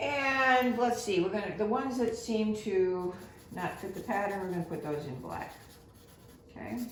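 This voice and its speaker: Against noticeable background noise and audible room echo, a woman of medium pitch talks at a moderate pace with lively intonation. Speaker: art teacher. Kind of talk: tutorial. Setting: home.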